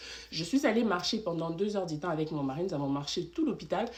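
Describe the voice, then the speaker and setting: A woman speaks at a moderate pace with lively intonation and a medium pitch. It is an ordinary speaking voice. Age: 20s. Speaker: vlogger sharing birth story. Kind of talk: storytime monologue. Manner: conversational, filler-heavy.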